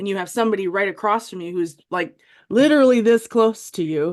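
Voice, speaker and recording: A woman speaks with a Wisconsin accent and ordinary pitch variation against a quiet background. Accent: Wisconsin American. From US Midwest, Wisconsin. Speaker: military veteran and former vet tech with dystonia. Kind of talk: interview testimony.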